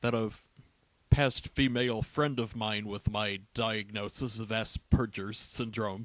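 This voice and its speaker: At a fairly slow pace, a man talks in a flat, monotone way at a medium pitch. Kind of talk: humorous documentary-style monologue.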